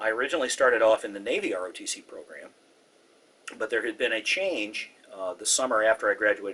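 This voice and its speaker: This man talks at a fairly quick pace with an American accent. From US West Coast, Southern California (Orange County). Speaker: former Air Force missile officer. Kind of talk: oral history interview.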